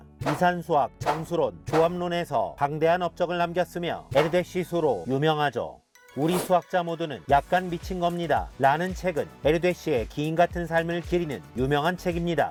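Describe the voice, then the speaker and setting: Music plays in the background. A man speaks at a moderate pace in a high pitch, his intonation fairly even. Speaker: math teacher. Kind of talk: educational lecture narration.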